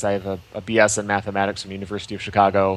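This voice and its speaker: A man at a fairly quick pace. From US Midwest, Michigan. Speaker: entrepreneur and coding educator. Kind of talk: interview.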